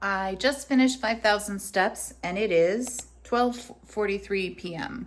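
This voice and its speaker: The voice of a woman sounds somewhat breathy. She talks very slowly. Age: 40s. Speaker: weight loss vlogger. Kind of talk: casual vlog.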